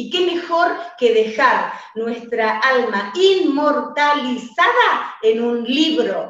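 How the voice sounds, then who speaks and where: A woman with an Argentine accent, animated, warm tone and lively intonation, in audible room echo. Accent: Argentine Rioplatense. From Argentina. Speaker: radio host and author coach. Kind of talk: radio interview, motivational. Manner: animated, warm, enthusiastic. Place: home room. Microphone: webcam.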